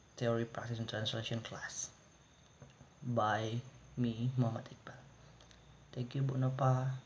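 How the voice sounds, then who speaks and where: With an Indonesian accent, a man speaks at a fairly slow pace with long, frequent pauses, a monotone, flat intonation and big swings in loudness. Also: medium pitch for a man. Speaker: university student. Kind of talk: class presentation. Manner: halting.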